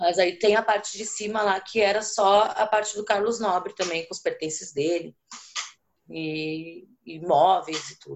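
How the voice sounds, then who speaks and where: With a southern Brazilian accent, a woman at a medium pitch talks fairly slowly with ordinary pitch variation. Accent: gaúcho. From Rio Grande do Sul, Brazil (Porto Alegre). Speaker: interview guest. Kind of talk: casual interview.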